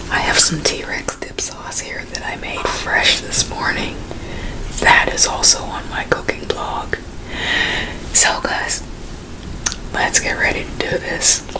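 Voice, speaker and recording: Whispering, a woman speaks at a very slow pace with long, frequent pauses. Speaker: mukbang host. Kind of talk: casual vlog chat. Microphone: studio mic.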